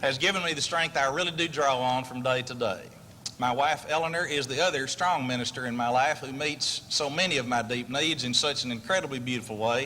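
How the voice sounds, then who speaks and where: Over noticeable background noise, a man with a Texas accent speaks fairly quickly at a fairly high pitch with ordinary pitch variation. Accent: Texas twang. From Texas, Amarillo. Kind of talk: award acceptance speech.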